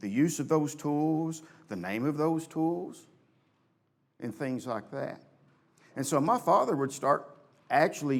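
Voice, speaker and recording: The speech comes at a fairly slow pace, with audible room echo around it. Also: man. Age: 60s. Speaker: church elder and preacher. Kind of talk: sermon.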